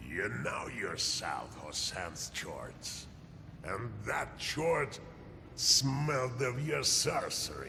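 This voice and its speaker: A man talks very slowly in a put-on character voice. Clear background noise can be heard. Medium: video game. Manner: calm, measured.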